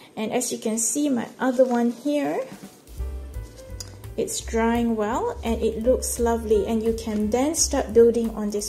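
A woman speaks with faint music in the background. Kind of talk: tutorial. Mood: calm, relaxed. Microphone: phone near.

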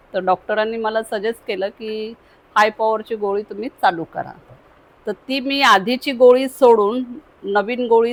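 In an unremarkable speaking voice, a woman with fairly high pitch talks with ordinary pitch variation and big swings in loudness, the sound dry and close with no echo. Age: 50s. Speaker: patient. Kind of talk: asking a question.

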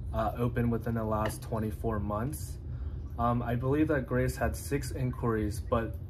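Noticeable background noise sits behind a man talking at a fairly slow pace. His fairly low voice swings very widely in pitch. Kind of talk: phone conversation. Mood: polite, explaining. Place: home room. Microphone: phone near.

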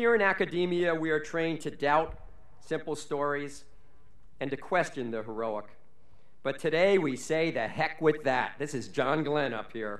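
A man with a fairly high pitch at a moderate pace, with audible room echo. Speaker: college official reading honorary degree citations. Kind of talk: formal commencement oratory, reading scripted citations with ceremonial flourish. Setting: graduation ceremony on stage before audience. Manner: formal, measured, dignified, with witty rhetorical flourishes. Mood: formal with light humor. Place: stage. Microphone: podium.

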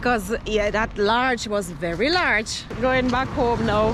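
A woman is heard over loud background noise, the sound dry with no echo. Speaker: food vlogger. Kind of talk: casual vlog chat. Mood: happy, relaxed. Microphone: phone near.

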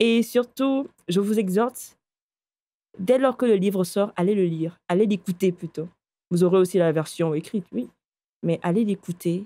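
The woman has a dark, mellow tone at a medium pitch, with ordinary pitch variation. The sound is dry and close, with no echo. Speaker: audiobook narrator. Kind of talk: casual chat. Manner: slow.

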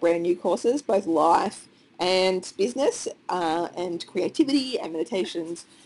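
Talking at a fairly slow pace, a woman speaks with an Australian accent. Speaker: online course creator, business owner. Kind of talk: casual talk to camera, screen walkthrough.

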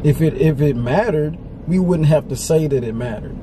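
With noticeable background noise, a man speaks with ordinary pitch variation in a dry sound with no echo. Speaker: vlogger. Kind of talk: casual vlog chat. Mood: serious, reflective. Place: car. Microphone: camera far.

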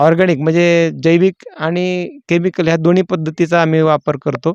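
A man's high-pitched voice comes through dry and close with no echo, over a quiet background. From Maharashtra, Solapur district. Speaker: pomegranate farmer. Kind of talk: farm walkthrough interview. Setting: outdoors in orchard.

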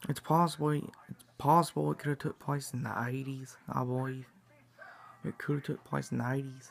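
A man's monotone, flat delivery over light background noise. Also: moderate pace. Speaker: vlogger. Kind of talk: casual vlog chat, fan theory. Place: home room. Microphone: phone near.

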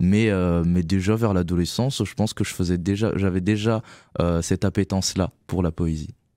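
A man speaks at a moderate pace in a very deep, low pitch with a dark, mellow tone. His intonation is fairly even, and the sound is dry with no echo over a quiet background. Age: 30s. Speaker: author and children's performer; radio guest. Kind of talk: interview. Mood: calm, reflective. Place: studio. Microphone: studio mic.

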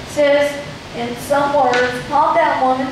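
There is strong room echo on this clip. Noticeable background noise is also present. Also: woman. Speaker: youth pastor. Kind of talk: sermon. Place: stage.

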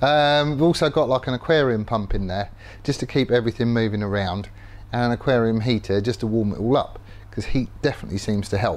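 Music plays behind a man who speaks at a moderate pace with ordinary pitch variation. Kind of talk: casual workshop tutorial chat. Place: workshop. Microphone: lapel.

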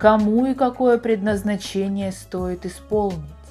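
With music playing in the background, a woman speaks at a medium pitch with fairly even intonation. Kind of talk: descriptive narration.

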